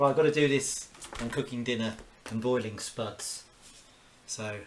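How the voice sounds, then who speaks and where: A man with a southeast English accent speaks at a moderate pace and medium pitch, his intonation fairly even, with noticeable background noise. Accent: southeast English, near-London. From southeast England, Kent (Orpington). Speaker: cartoonist. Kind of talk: live-stream drawing commentary. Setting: at home, cooking while streaming. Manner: casual, thinking aloud with exclamations.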